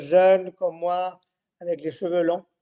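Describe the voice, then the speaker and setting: Fairly slow in pace, this man speaks with a high pitch. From Spain. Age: 60s. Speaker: winemaker. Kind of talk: interview. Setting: virtual tasting event. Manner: halting.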